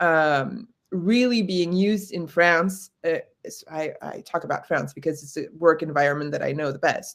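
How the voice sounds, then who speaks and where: An ordinary speaking voice, a woman's, fairly low in pitch with ordinary pitch variation and an American accent. She keeps a moderate pace while her loudness swings widely. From United States. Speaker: corporate trainer. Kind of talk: webinar discussion.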